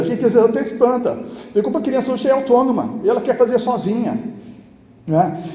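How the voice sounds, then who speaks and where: A man speaks over noticeable background noise. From São Paulo, Brazil. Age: 60s. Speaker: pastor. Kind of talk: church sermon.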